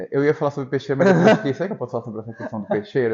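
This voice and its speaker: This man's speech races along very fast. He uses lively intonation. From northern Paraná, Brazil. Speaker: podcast host. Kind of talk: casual interview chat.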